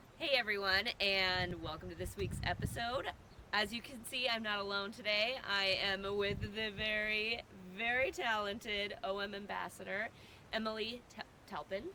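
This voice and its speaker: A plain, everyday voice with an American accent, fairly even intonation and a fairly slow pace. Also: woman, medium pitch for a woman. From US. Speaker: wildlife photographer and podcast host. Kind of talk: casual interview chat. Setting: on location at a birding event.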